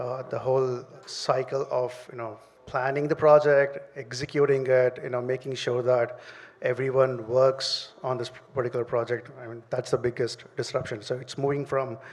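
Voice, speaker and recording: Over noticeable background noise, a man with a medium pitch speaks in a monotone, flat intonation at a moderate pace. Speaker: startup CEO. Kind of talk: panel discussion. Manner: halting, many fillers.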